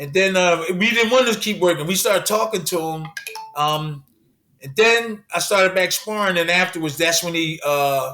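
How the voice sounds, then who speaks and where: Music plays in the background as the speaker goes at a moderate pace with ordinary pitch variation. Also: man. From Philadelphia, Pennsylvania. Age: 60s. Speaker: former heavyweight boxing champion. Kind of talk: interview answer.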